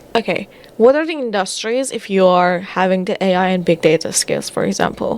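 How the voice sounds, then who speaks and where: Against noticeable background noise, a woman with a non-native accent talks at a fairly quick pace with lively intonation. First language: not English. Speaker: data/career content creator. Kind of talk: casual commentary reading through a report. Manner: halting, self-correcting.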